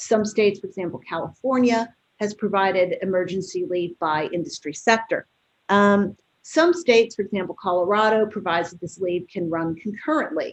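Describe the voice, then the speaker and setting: Here a woman speaks at a fairly quick pace. Her pitch is medium, with ordinary variation. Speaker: employment lawyer. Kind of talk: webinar presentation. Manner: fast.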